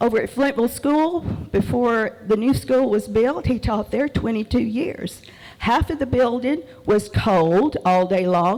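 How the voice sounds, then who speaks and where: In a Southern US accent, a woman speaks fairly slowly at a fairly high pitch with very wide pitch swings. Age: 70s. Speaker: public commenter. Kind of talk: public comment. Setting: public meeting hall.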